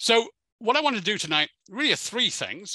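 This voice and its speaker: A man with an English accent, a bright, sharp tone and very wide pitch swings, over a quiet background. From England. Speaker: historian giving a museum talk. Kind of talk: lecture. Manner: repetitive, many fillers and false starts.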